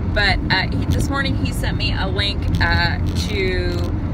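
Loud background noise accompanies a woman whose voice sounds dry with no echo. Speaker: vlogger. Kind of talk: casual vlog monologue. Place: car. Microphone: phone near.

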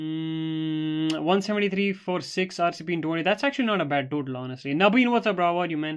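A man at a moderate pace and fairly high pitch, animated in tone with ordinary pitch variation, over a quiet background. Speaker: gaming streamer. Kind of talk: live stream commentary.

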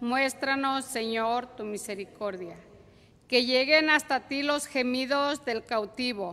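Here a woman speaks in a high voice. Her pace is very slow, with ordinary pitch variation. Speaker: psalmist. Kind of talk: reading aloud. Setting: church. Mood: solemn, prayerful. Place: church. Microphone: podium.

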